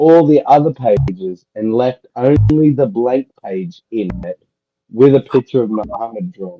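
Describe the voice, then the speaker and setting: Speaking with a strong Australian accent, a man talks at a fairly slow pace with lively intonation. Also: medium pitch for a man, big swings in loudness. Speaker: livestream participant. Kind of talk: casual chat.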